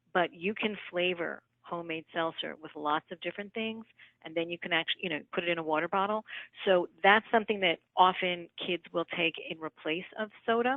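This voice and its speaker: A woman with a New York accent speaks at a fairly quick pace, her fairly low pitch rising and falling in an ordinary way. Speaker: nutritionist. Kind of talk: live Q&A answering questions.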